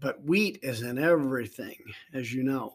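This man talks at a fairly slow pace. The recording is very clean, with a silent background. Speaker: life coach podcaster. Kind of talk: casual conversation.

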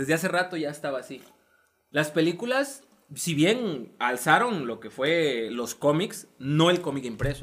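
Lively intonation and big swings in loudness mark this man's fairly high-pitched voice as he goes at a fairly slow pace. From coastal Mexico. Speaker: podcast host. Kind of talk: casual chat.

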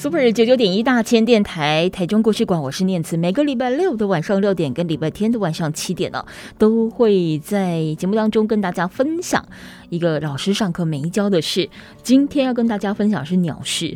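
A woman's dark, mellow voice at a medium pitch, with lively intonation and a moderate pace. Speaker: radio host. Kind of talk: casual chat.

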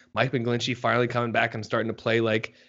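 This man talks at a fairly quick pace in a medium pitch, with a plain, everyday voice. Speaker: podcast co-host and sports writer. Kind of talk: casual sports podcast chat. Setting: podcast recording.

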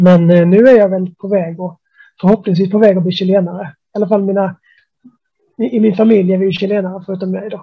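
A man talks at a moderate pace in a high voice. His intonation is monotone and flat. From Sweden. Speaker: music blogger. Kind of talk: casual interview. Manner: halting, many repetitions.

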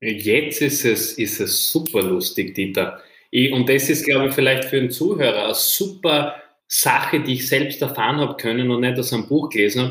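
Using an ordinary speaking voice, a man keeps a moderate pace, his medium pitch varying in an ordinary way. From Austria, Styria. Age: 20s. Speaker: entrepreneur. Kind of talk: interview.

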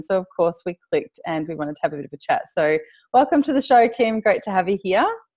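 In an Australian accent, a woman speaks with a dry, close sound and no echo. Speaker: podcast host. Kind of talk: casual interview chat. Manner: animated, laughs often.

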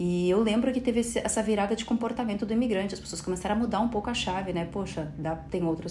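A woman talks at a very fast pace with ordinary pitch variation, and room echo is audible. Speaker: podcast host. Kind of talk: solo podcast monologue. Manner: animated.

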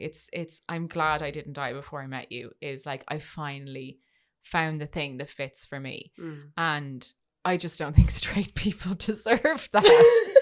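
Here a woman with an Irish accent speaks at a fairly slow pace, her pitch very deep and low with ordinary variation. Her loudness swings widely, and the recording is very clean with a silent background. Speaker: podcast host. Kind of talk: casual chat.

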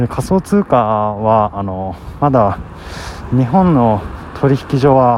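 A man's very slow, medium-pitched speech with lively intonation, long, frequent pauses, and noticeable background noise. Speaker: vlogger. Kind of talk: casual monologue. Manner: soft-spoken.

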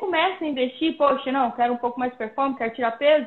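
A woman with a high voice races along at a very fast pace, using ordinary pitch variation. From Brazil, Pirenópolis, Goiás. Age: 30s. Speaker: professional mountain bike athlete. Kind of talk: casual interview. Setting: Instagram live video call.

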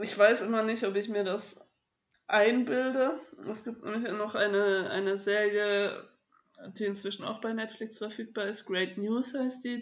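This is a normal speaking voice. It moves at a fairly slow pace with fairly even intonation. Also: woman. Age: 20s. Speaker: podcast co-host. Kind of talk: casual chat.

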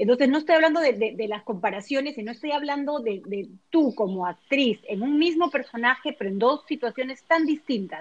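This woman talks at a fairly quick pace in a high-pitched voice. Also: lively intonation. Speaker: podcast host and vocal coach. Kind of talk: casual chat.

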